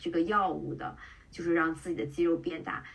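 A woman keeps a moderate pace while background noise is clearly present. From China (Qingdao). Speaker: tech product manager and amateur bodybuilding competitor. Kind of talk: podcast interview.

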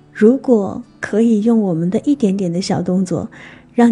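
Music runs underneath the recording. A woman is talking over it. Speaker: radio DJ. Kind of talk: scripted narration. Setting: studio. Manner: stutter.

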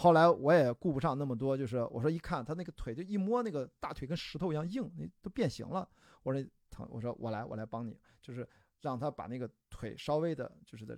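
Against a silent background in a very clean recording, a man with a fairly high pitch speaks at a fairly quick pace in an animated tone. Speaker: ultramarathon runner and film producer. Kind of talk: casual chat.

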